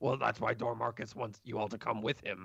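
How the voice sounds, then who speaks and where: A man puts on a raspy character voice at medium pitch. He delivers it at a fairly quick pace. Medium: actual play. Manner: refers to himself in third person, broken grammar.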